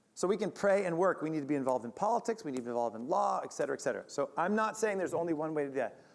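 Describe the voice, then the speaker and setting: Speaking at a very fast pace, a man has an American accent. His pitch is high. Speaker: conference speaker. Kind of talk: lecture.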